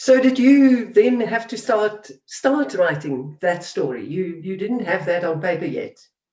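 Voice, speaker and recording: The speech runs at a fairly slow pace with hardly any pauses. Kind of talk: interview host.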